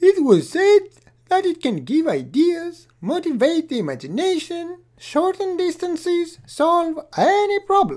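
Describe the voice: Squeaky and extremely high, this is a cartoonish character voice. It moves at a fairly slow pace.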